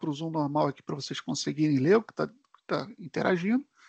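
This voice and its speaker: Lively intonation at a fairly quick pace, in a dry, close recording with no echo and a quiet background. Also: man. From Brazil, Rio de Janeiro. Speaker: tech solution architect presenter. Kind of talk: live webinar tutorial. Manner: casual, filler-heavy.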